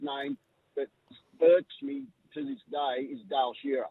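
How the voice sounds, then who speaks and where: A man talks with an Australian accent. His pitch varies in an ordinary way. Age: 60s. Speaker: caller. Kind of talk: radio call-in. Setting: phone call.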